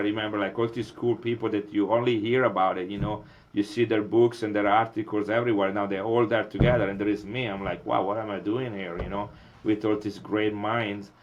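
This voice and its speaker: Fairly even intonation with an Italian accent at a moderate pace. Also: man, hardly any pauses. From Italy, Milan. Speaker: molecular biologist. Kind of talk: interview. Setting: podcast. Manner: hesitant, many fillers.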